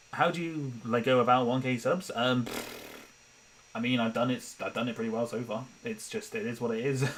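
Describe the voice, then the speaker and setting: Noticeable background noise sits behind a man with a medium pitch and ordinary pitch variation. He talks at a fairly quick pace, broken by long, frequent pauses. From Britain. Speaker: animator and streamer. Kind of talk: casual live-stream chat. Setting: live stream on laptop. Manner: rambling with many restarts and fillers. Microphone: laptop noise picked up by mic.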